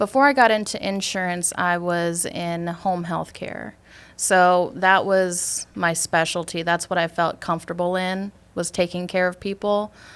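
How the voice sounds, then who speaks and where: A woman with a Wisconsin accent speaks at a fairly low pitch and a fairly slow pace. Her intonation is fairly even, on a very clean recording with a silent background. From US Midwest, Superior, Wisconsin. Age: 20s. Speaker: insurance sales agent. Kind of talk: casual interview.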